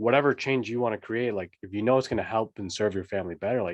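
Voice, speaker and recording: This is an ordinary speaking voice with ordinary pitch variation. The background is quiet. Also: man. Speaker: podcast host, fatherhood coach. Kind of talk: interview host talk.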